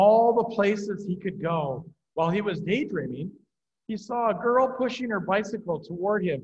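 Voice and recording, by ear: Someone reads aloud in a natural voice with ordinary pitch variation. The background is quiet.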